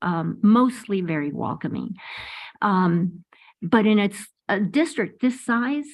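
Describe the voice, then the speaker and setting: At a very slow pace, a woman speaks with lively intonation and a somewhat breathy voice. Her pitch is medium, and the background is quiet. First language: Spanish. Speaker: school board member. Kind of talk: public meeting. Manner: halting.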